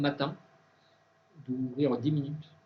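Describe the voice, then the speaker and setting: A man's voice with audible room echo. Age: 60s. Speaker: organic food expert and speaker. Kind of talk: conference talk with Q&A. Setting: university conference with students. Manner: hesitant, many fillers and restarts.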